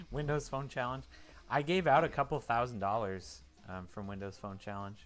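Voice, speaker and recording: Against music in the background, a man with an American accent and a medium pitch speaks at a moderate pace with lively intonation and big swings in loudness. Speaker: live stream co-host. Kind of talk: casual chat.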